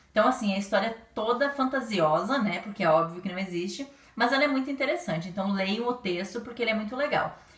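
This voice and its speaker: A woman with lively intonation at a fairly quick pace over noticeable background noise. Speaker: primary school teacher. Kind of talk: lesson for children. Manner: fast.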